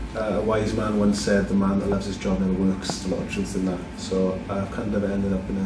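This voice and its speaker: A man with a Welsh Valleys accent talks at a very fast pace and fairly low pitch with ordinary pitch variation, amid audible room echo and noticeable background noise. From South Wales, Merthyr Tydfil (valleys). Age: 40s. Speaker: film producer, director and actor. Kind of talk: casual interview.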